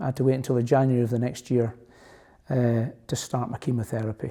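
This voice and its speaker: A very fast man's voice in a Scottish accent, medium in pitch, dark and mellow in tone, with fairly even intonation and a very clean recording over a silent background. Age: 60s. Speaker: cancer patient, retired police officer. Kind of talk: testimony.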